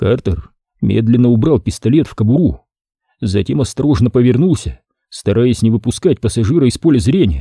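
Someone reads aloud in a natural voice, with lively intonation. The background is quiet.

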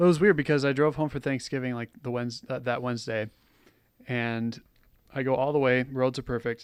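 The man's voice sits at a medium pitch. He talks fairly quickly with fairly even intonation. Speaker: podcast co-host. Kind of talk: casual chat; show outro announcements. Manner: put-on podcast voice at start.

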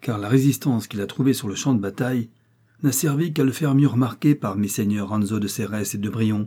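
Plain reading aloud with ordinary pitch variation.

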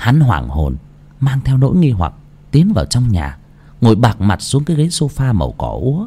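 This is an unforced reading voice. It carries no strain.

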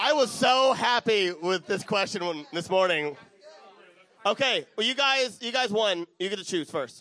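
Raised and projected, a man's high-pitched voice moves at a fairly slow pace with lively intonation and a bright, sharp tone. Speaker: podcast host and panel moderator. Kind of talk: live convention panel moderation. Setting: convention panel room with audience. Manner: loud; halting, stumbling over words.

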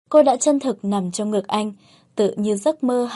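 Reading aloud in a natural voice, with pitch shifting in an ordinary way

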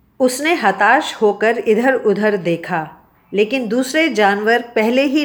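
The text is simply read aloud, with pitch that varies in an ordinary way.

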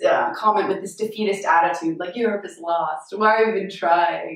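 A woman of medium pitch talks at a fairly quick pace over noticeable background noise. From United States. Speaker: political commentator vlogger. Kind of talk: casual video chat. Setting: travelling in Europe, video recording.

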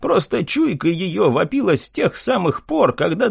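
Text given plain reading aloud

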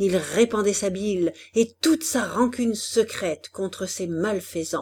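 Pitch shifts here are ordinary. The delivery is a natural reading voice.

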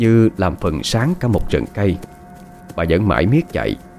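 The recording presents a natural reading voice.

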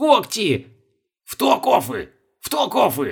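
The pace is fairly slow. A man delivers the lines in a put-on character voice. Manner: angry, snapping back.

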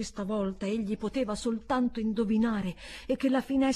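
Someone is reading aloud. The reading is plain.

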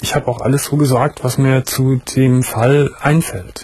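Speaking at a fairly slow pace, a man has a medium pitch and fairly even intonation. His tone is slightly mellow with a slightly husky edge.

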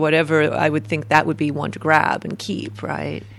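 A woman's very deep, low voice at a moderate pace, over noticeable background noise. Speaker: podcast co-host. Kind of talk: casual interview.

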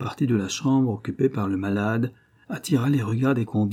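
Pitch shifts in an ordinary way. The delivery is an unforced reading voice.

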